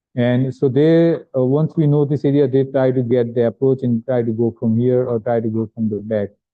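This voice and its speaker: A man speaks at a moderate pace with an Indian accent. His intonation is fairly even, and he hardly pauses. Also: medium pitch for a man. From India (Gujarat). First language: not English. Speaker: visiting neuroradiology professor. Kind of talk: lecture. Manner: halting, with fillers.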